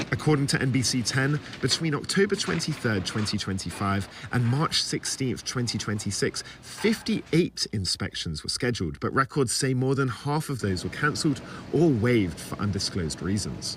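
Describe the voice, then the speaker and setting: This man has an English accent and vocal fry at a medium pitch. He speaks at a moderate pace with very wide pitch swings. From England, Watford (northwest of London). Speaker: student TV reporter. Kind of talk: TV news reporting. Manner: formal.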